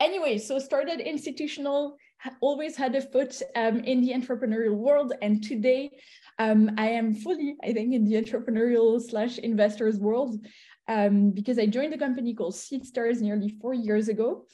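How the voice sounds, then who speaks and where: Her fairly high voice has a dark, mellow tone and ordinary pitch variation, as the woman talks at a moderate pace. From Belgium / Italy. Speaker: venture capital investor. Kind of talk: interview. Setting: video call. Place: home room. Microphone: video call.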